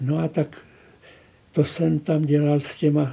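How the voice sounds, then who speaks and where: A man talks at a very slow pace. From northern Bohemia, near Teplice. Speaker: painter. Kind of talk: interview reminiscence.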